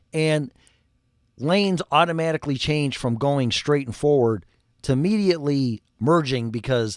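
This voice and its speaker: Speaking at a moderate pace with a Chicago accent, the voice has lively intonation and an animated tone. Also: man. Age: 60s. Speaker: refrigeration and HVAC technician. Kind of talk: casual livestream talk.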